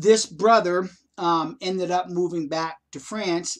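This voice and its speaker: A man speaks in a high pitch with ordinary pitch variation. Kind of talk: personal testimony. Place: home room. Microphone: webcam.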